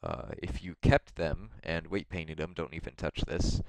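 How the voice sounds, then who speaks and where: A man with a very deep, low pitch and vocal fry keeps a moderate speed. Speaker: modding tutorial youtuber. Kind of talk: tutorial. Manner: hesitant, many fillers. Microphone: mic very close to mouth, poor quality.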